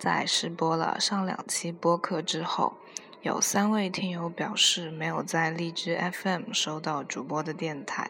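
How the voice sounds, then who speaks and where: There is noticeable background noise as a woman speaks at a very slow pace. Her pitch is fairly low and her intonation fairly even. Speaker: podcast host. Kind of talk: casual monologue.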